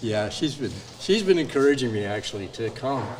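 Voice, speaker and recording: With noticeable background noise and audible room echo, a man of medium pitch talks at a moderate pace. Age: 70s. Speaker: workshop participant, hobby woodworker. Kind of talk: casual interview.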